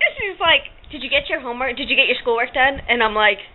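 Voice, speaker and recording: A woman's high, animated voice with lively intonation over noticeable background noise. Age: 40s. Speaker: vlogger. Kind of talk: casual chat.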